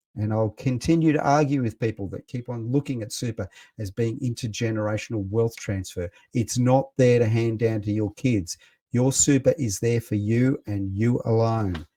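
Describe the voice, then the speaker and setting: Someone with an Australian accent talks at a moderate pace, with ordinary pitch variation and a dark, mellow tone. The very clean recording has a silent background and a dry, close sound with no echo. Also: man, medium pitch for a man. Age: 60s. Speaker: radio host. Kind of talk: radio talk show monologue. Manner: animated.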